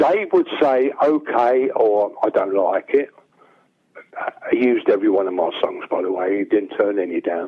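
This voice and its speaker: This man speaks at a moderate pace. He has a London accent. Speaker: songwriter. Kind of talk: interview.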